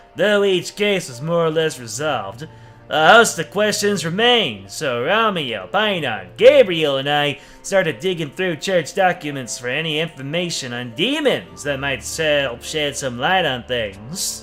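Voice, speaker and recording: Over background music, a man puts on a gruff character voice, fairly high in pitch with very wide pitch swings, at a moderate pace. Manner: gruff, narrating.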